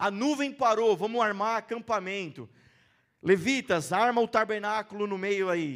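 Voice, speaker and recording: A man with a Brazilian accent speaks in a high pitch at a fairly slow pace, with ordinary pitch variation and an animated tone. The recording is very clean, with a silent background. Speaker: preacher. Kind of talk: sermon. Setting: church. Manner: conversational, animated preaching, pausing to engage the congregation; informal, rhetorical questions and call-and-response.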